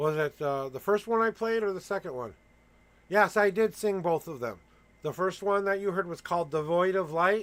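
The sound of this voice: A man speaks at a moderate pace. His voice is high-pitched. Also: ordinary pitch variation, fairly bright tone.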